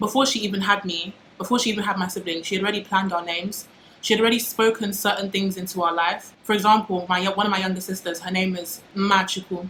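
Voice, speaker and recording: Noticeable background noise sits behind a woman speaking at a very fast pace. Her pitch is medium. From UK. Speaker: YouTuber. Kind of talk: casual vlog monologue. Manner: animated.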